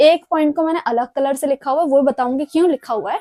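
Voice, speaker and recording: Her voice is high-pitched with ordinary pitch variation and a dark, mellow tone, captured as a dry, close sound with no echo. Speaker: language teacher. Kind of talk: lecture.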